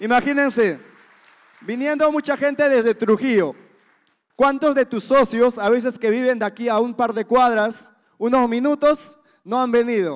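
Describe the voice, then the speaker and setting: Over a quiet background, a man with an extremely high pitch speaks fairly slowly in an animated tone, with long, frequent pauses. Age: 20s. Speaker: event emcee. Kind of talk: motivational event hosting. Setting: stage with audience. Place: hall. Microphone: handheld.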